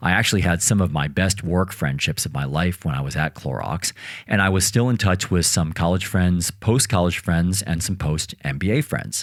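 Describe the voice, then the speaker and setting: A man with an American accent has a very deep, low pitch, vocal fry and lively intonation. The recording is very clean, with a silent background. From United States. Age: 40s. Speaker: podcast host. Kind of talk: scripted monologue.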